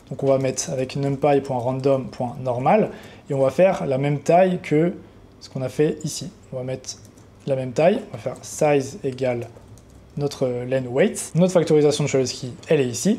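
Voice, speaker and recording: Fairly high-pitched man at a moderate pace with ordinary pitch variation. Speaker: trading educator, YouTuber. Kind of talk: coding tutorial. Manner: casual, unscripted.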